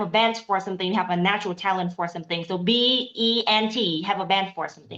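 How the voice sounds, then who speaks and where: A woman speaks with a Vietnamese accent at a medium pitch. She talks fairly quickly with ordinary pitch variation. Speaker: aspiring interpreter. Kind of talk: casual chat. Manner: animated.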